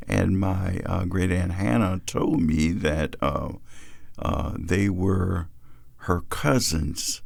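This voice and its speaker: In a Virginia accent, a man talks at a very slow pace. His pitch is very deep and low. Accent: Virginia, Southern US. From Fredericksburg, Virginia. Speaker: reverend. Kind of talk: oral history narrative. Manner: hesitant, with frequent fillers.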